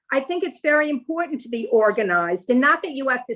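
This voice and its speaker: This woman has a high-pitched voice. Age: 70s. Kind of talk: interview answer.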